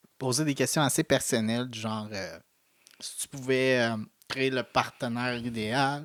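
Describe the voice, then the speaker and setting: Big swings in loudness mark a man's medium-pitched voice at a fairly slow pace. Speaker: podcast co-host. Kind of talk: casual chat. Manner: animated.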